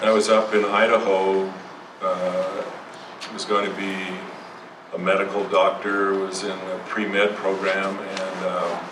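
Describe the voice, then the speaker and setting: A man speaks very slowly at a fairly low pitch, with audible room echo and noticeable background noise. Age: 70s. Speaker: psychotherapist. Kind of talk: lecture. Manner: halting.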